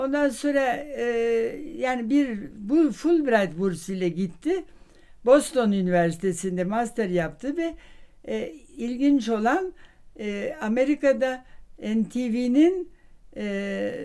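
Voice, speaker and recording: Over a quiet background, a dark, mellow voice moves at a very slow pace with very wide pitch swings and long, frequent pauses. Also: woman, high pitch for a woman. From Vienna. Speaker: social scientist and professor. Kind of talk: interview answer. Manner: hesitant, many fillers. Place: home room.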